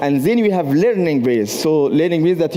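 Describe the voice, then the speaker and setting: Over noticeable background noise, a man speaks with a fairly high pitch and lively intonation. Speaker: university professor and researcher. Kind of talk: conference presentation. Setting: stage at a trade fair. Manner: hesitant, with many fillers.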